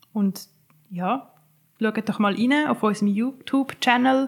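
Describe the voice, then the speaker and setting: A woman's fairly high, somewhat breathy voice at a fairly slow pace, with ordinary pitch variation. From Switzerland, Winterthur. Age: 30s. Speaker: social care worker and advocate for care leavers. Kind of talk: interview.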